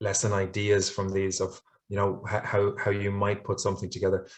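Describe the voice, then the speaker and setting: Over a quiet background, a man with an Irish accent talks at a moderate pace, his fairly low voice somewhat breathy. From Ireland. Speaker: English language teacher trainer. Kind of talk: conference webinar presentation. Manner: hesitant, many fillers and repetitions.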